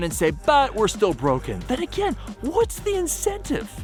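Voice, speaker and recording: A man talks at a moderate pace. Music plays behind his voice. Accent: American. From Seattle. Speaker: spoken word poet. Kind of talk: spoken word poetry performance.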